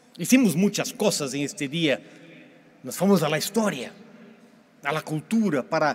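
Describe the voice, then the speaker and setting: A man with a Portuguese accent, his pitch fairly high, at a moderate pace with long, frequent pauses and lively intonation. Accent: Portuguese-accented Spanish (portuñol). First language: Portuguese (speaking Spanish). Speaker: pastor. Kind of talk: sermon. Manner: halting.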